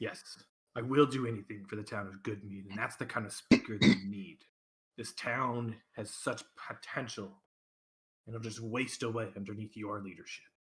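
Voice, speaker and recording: A put-on character voice from a man, medium in pitch, delivered at a moderate pace. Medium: actual play. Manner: menacing, condescending.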